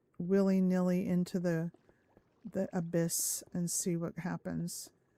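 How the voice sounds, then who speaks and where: A somewhat breathy woman's voice at medium pitch, with an American accent and a dry, close sound with no echo. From Southern California, Orange County. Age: 50s. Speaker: gaming streamer. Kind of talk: live stream chat. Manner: casual, rambling with hesitations.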